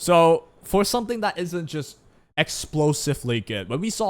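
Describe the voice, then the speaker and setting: The speaker has a Chinese accent. The recording is very clean, with a silent background. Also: man. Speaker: gaming YouTuber. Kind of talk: casual commentary. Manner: casual, conversational.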